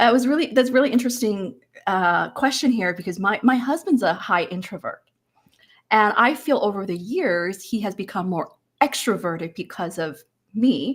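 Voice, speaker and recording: Lively in intonation and fairly high in pitch, a woman speaks at a moderate pace in a very clean recording with a silent background. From Hong Kong and Canada. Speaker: interview coach. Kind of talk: panel discussion. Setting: virtual live event.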